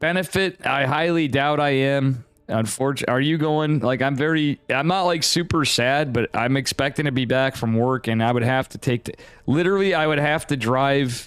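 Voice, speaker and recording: An animated man with an upstate New York accent, fairly high in pitch, at a moderate pace with ordinary pitch variation, on a very clean recording with a silent background. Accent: US Northeast (upstate New York). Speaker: esports caster / streamer. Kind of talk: live game commentary and chat with viewers. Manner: casual, animated.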